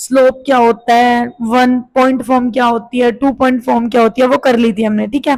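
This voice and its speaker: A woman with a high pitch speaks at a moderate pace in a flat monotone. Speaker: math teacher. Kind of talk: tutorial. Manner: casual.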